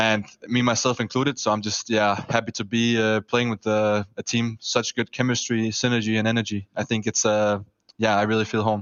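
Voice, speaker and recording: A man at a fairly quick pace, medium pitch, monotone and flat in intonation, with a German accent. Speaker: professional esports player. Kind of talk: post-match interview.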